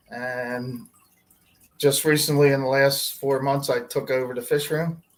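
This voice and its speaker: Speaking with an American accent and a plain, everyday voice, a man talks at a fairly high pitch and a fairly slow pace with fairly even intonation. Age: 60s. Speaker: pet store fish department manager. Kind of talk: livestream interview.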